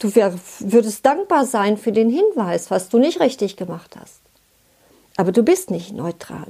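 Pausing long and often, a woman talks at a fairly slow pace with very wide pitch swings. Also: fairly high pitch for a woman. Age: 60s. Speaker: relationship coach. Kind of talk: scripted talk to listener.

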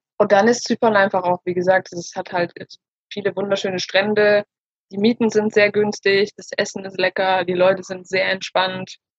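In a dry, close recording with no echo, a woman speaks at a moderate pace and medium pitch, her intonation flat and monotone while her loudness swings widely. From Germany. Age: 30s. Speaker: self-love coach, former social worker. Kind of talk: interview.

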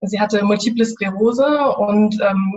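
A woman talks at a fairly high pitch with fairly even intonation. Her voice is somewhat breathy. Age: 20s. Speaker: university student sharing grief experience. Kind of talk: interview, personal testimony. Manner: halting, many fillers.

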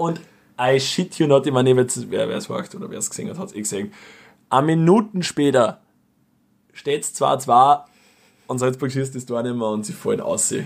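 Lively intonation and an animated tone mark this man's fairly high voice, with big swings in loudness. He moves at a moderate pace, broken by long, frequent pauses. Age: 20s. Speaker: podcast co-host. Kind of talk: casual chat.

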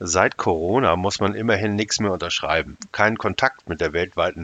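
With a very deep, low pitch, a man speaks at a moderate pace and with fairly even intonation. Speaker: podcaster. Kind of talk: reading aloud; solo podcast monologue.

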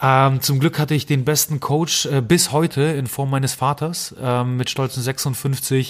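A man speaks at a fairly slow pace and fairly high pitch, with monotone, flat intonation and hardly any pauses. The recording is very clean, with a silent background. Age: 30s. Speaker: nutrition scientist and podcast host. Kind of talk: interview conversation. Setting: sitting at a table in person. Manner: frequent filler hesitations.

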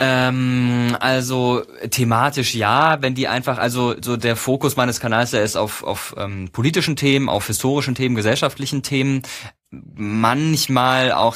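Here a man has an unremarkable speaking voice at a medium pitch. He keeps a moderate pace and fairly even intonation. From Baden-Württemberg, Karlsruhe. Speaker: YouTuber and TV presenter. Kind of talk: casual interview.

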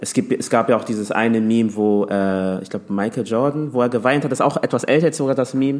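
A man at medium pitch, talking at a very fast pace with hardly any pauses and ordinary pitch variation. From Hamburg, Germany. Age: 20s. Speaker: teacher and social media creator. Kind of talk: casual chat.

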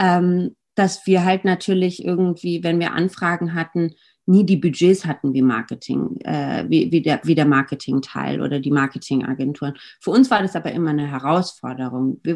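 Her pitch sits very deep and low for a woman, and it varies in an ordinary way. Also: moderate pace. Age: 30s. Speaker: marketing agency co-founder. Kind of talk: interview.

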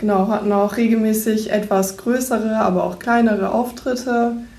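A woman speaks at a fairly high pitch in a dark, mellow, somewhat breathy tone with monotone, flat intonation. There is audible room echo. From East Frisia, northern Germany. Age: 18. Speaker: bank trainee. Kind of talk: self-introduction and interview.

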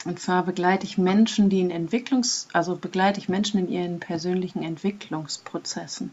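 A fairly low-pitched woman at a moderate pace, with an unremarkable speaking voice. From Germany, Münsterland. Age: 40s. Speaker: process facilitator and vision quest guide. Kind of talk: casual interview.

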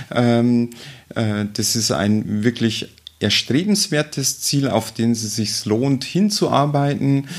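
Noticeable background noise runs behind a man who talks very slowly. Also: medium pitch for a man, ordinary pitch variation. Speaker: state politician. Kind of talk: interview. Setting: her office.

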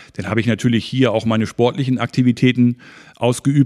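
A man speaks at medium pitch and a moderate pace in a plain, everyday voice. The sound is dry and close with no echo, the recording very clean over a silent background. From Schleswig-Holstein, near Hamburg (northern Germany). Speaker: travel agency owner. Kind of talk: interview.

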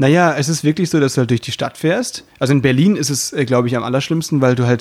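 With a normal speaking voice, a man talks at medium pitch in fairly even intonation. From Baden, southern Germany. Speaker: variety artist and podcast host. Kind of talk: casual chat.

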